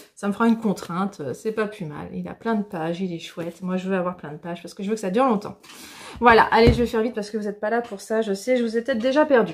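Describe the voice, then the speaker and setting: With ordinary pitch variation, a woman speaks very fast. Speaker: craft podcaster. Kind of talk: casual vlog chat. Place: home room.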